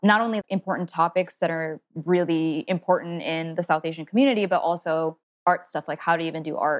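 Someone talks at a very fast pace with an American accent. The sound is dry and close, with no echo. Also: woman. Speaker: artist and special education teacher. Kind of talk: interview.

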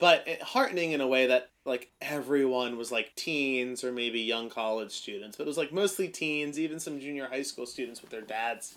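On a very clean recording with a silent background, a plain, everyday voice moves at a moderate pace with ordinary pitch variation and big swings in loudness. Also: man. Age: 20s. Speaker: podcast guest. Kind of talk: casual chat.

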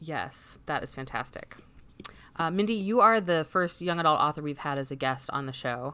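With an American accent, a woman talks at a moderate pace in a very deep, low pitch and lively intonation. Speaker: podcast host. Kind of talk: casual interview chat.

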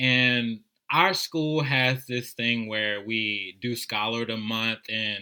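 Speaking at a very slow pace with a New Orleans accent, a man has a bright, sharp tone and a medium pitch. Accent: New Orleans American. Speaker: service volunteer, school mentor. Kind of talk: casual interview.

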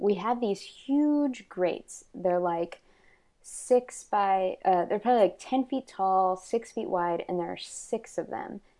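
With an American accent, a woman speaks at a very slow pace in a medium pitch, her dark, mellow tone showing ordinary pitch variation against a quiet background. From Texas. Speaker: fiber artist. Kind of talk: casual interview. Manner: halting, many fillers.

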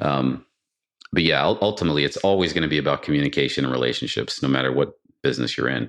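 A man with an American accent talks very fast in a very deep, low pitch with vocal fry and ordinary pitch variation. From US Northeast, Boston area. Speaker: renewable energy company CEO. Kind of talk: interview. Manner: halting, many repetitions and fillers.

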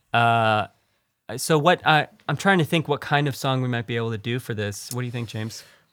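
On a very clean recording with a silent background, an unremarkable speaking voice goes at a fairly quick pace, its pitch varying in an ordinary way. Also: man, medium pitch for a man. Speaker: podcast host. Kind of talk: casual chat.

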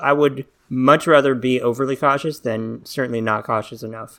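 With a slight Southern US accent, a man talks with fairly even intonation. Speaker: podcast host. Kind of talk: casual interview chat.

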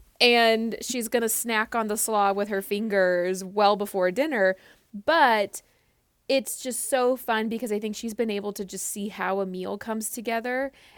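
In a normal speaking voice, a woman with a fairly high pitch talks at a moderate pace, her intonation fairly even. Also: very clean recording, silent background. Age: 30s. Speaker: cookbook author. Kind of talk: casual chat.

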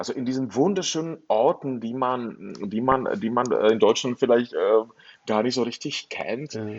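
At a fairly slow pace, a man with a medium pitch talks with ordinary pitch variation. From northern Bohemia, Czechoslovakia. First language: Czech (speaking German). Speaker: novelist. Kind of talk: interview. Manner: halting.

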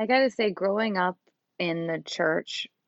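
With vocal fry and ordinary pitch variation, a woman talks at a moderate pace. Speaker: co-host, interviewer. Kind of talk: casual conversation.

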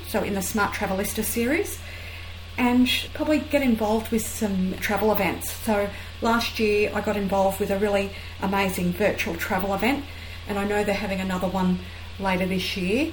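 A woman's medium-pitched voice at a fairly quick pace, with ordinary pitch variation, audible room echo and noticeable background noise. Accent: Australian. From Australia. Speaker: travel writer. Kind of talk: casual interview chat.

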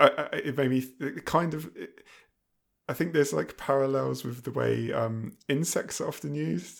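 The pace of this man's speech is moderate. His recording is very clean, and the background is silent. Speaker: podcast co-host. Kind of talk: casual chat. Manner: hesitant, with frequent fillers.

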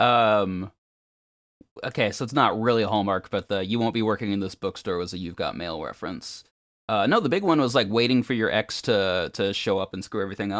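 In a very clean recording with a silent background, a man with a plain, everyday voice speaks at a fairly low pitch and fairly quick pace. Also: ordinary pitch variation. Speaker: podcaster and musician. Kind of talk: casual chat.

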